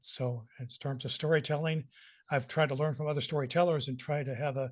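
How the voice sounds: A man speaks at medium pitch with fairly even intonation. His pace is fairly quick.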